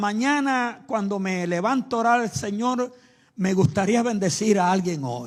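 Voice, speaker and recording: A man with a high pitch uses lively intonation. The recording is very clean, with a silent background. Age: 80s+. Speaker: preacher. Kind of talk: sermon.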